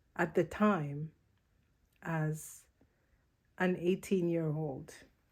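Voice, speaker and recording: The very slow speech has a dark, mellow tone and fairly even intonation in an American accent, captured in a very clean recording with a silent background. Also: woman. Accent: Ugandan with American-sounding. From Uganda. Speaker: vlogger. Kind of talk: personal vlog monologue. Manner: rolls R's, enunciates clearly.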